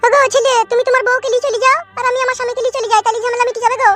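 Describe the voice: A woman does a cartoonish character voice at an extremely high pitch, speaking very fast in a monotone, flat delivery. Faint music plays in the background.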